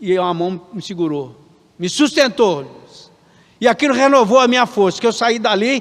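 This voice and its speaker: A high-pitched male voice at a moderate pace with ordinary pitch variation. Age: 60s. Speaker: pastor. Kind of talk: sermon. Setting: church.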